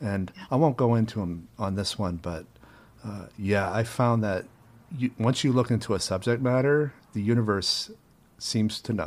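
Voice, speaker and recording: At a moderate pace, a man with an unremarkable speaking voice talks in a medium pitch. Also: ordinary pitch variation. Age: 40s. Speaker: podcast host and filmmaker. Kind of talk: casual interview chat.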